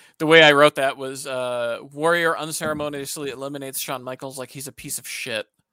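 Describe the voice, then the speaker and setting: Bright and sharp in tone, a man's fairly high voice moves at a fairly quick pace with hardly any pauses, monotone intonation, big swings in loudness, and a dry, close sound with no echo. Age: 30s. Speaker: wrestling podcast co-host. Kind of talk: casual chat.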